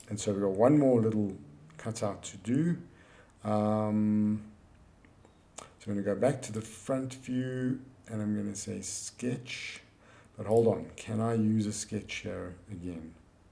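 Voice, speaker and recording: With a dark, mellow tone and fairly low pitch, a man talks at a fairly slow pace with long, frequent pauses amid audible room echo. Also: ordinary pitch variation. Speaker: engineering drawing teacher. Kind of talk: software tutorial.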